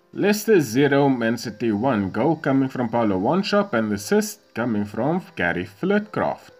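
With music in the background, a man speaks at a moderate pace with very wide pitch swings and hardly any pauses. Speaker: YouTuber playing a football video game. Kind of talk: gameplay commentary. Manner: reading out match results.

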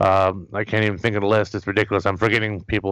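Very fast pace and monotone, flat intonation from a man over a quiet background. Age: 40s. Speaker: wrestling podcast host. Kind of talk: casual interview.

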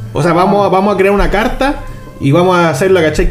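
A Chilean accent over noticeable background noise. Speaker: Magic card game podcaster. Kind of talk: casual chat.

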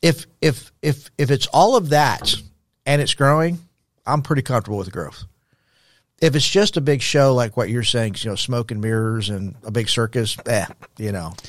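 With an American accent, a man has a normal speaking voice at a medium pitch. His intonation is lively and his pace moderate. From Texas, El Paso. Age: 60s. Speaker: former pastor, nonprofit founder. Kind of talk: interview conversation.

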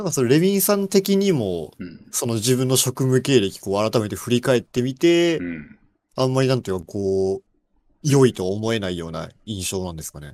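A man talks at a fairly quick pace and medium pitch, with very wide pitch swings and big swings in loudness. The recording is very clean, with a silent background. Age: 20s. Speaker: programmer. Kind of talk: casual chat.

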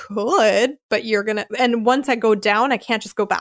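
In a dry, close sound with no echo, a woman with a Philadelphia accent speaks at a moderate pace with a fairly high pitch. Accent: American, Philadelphia. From US Northeast, Philadelphia. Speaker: podcast host, American expat. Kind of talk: casual interview chat. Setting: remote call.

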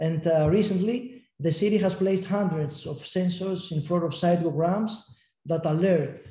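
A man's high-pitched voice with a Greek accent, dark and mellow in tone, at a moderate pace with ordinary pitch variation. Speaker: city tourism agency official. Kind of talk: panel discussion. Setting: video call.

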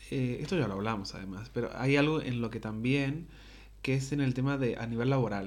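At a moderate pace, a man speaks at a medium pitch with ordinary pitch variation, and audible room echo is present. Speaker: podcast co-host. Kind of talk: casual chat. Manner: animated.

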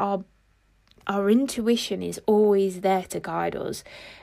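A woman with a British accent speaks at a medium pitch in a very clean recording with a silent background. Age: 20s. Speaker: life and mindset coach. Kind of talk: casual monologue.

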